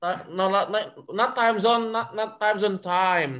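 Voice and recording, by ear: A man talks at a fairly slow pace, his pitch high and its variation ordinary. His tone is fairly bright.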